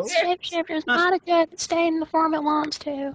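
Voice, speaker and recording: Putting on a squeaky character voice in a Southern US accent, a woman speaks at an extremely high pitch and moderate pace with fairly even intonation, the sound dry and close with no echo. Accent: American southern. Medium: actual play. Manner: folksy, drawling.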